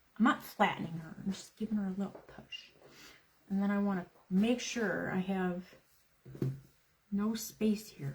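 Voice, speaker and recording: A woman speaks at a moderate pace and medium pitch, with long, frequent pauses. Her intonation is fairly even, and there is noticeable background noise. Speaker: craft livestream host. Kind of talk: live craft tutorial with casual chat. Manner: loud.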